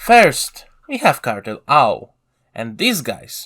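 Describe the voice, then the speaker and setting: A man's voice with a non-native accent and very wide pitch swings, over music in the background. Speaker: gaming lore video creator. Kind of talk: scripted narration.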